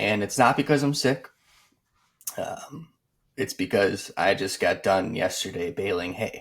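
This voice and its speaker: Speaking with an Upper Midwest accent, a man goes at a fairly slow pace with long, frequent pauses. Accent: Upper Midwest American. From Wisconsin, West Bend. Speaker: podcast co-host. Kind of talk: casual chat.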